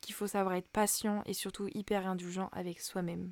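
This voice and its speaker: A woman's dark, mellow tone at medium pitch. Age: 20s. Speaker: podcast host, student. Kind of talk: casual personal monologue. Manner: hesitant, many fillers.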